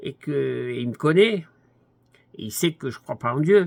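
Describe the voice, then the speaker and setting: This man's voice sits fairly high for a man and swings very widely in pitch. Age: 80s+. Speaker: commentator. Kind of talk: monologue. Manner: halting.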